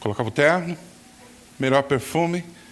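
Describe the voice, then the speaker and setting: Moderately paced male speech with ordinary pitch variation over noticeable background noise. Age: 60s. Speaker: pastor. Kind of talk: sermon. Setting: church.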